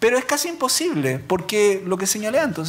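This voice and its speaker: A man speaks with a Chilean accent. His pitch is high. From Chile, Quillota. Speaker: law professor, labor lawyer. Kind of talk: academic talk. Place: hall. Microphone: podium.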